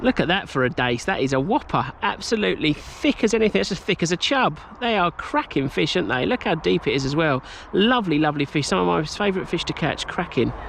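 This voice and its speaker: With an English accent, a man speaks very fast in an enthusiastic tone, with a high pitch and very wide pitch swings. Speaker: angler. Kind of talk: casual talk to camera.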